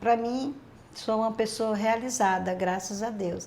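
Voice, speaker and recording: Fairly slow and with fairly even intonation, an unremarkable speaking voice is heard. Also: woman. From Minas Gerais, Brazil. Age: 60s. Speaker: retired hairdresser. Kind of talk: interview.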